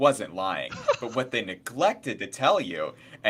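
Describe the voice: This recording is plain reading aloud.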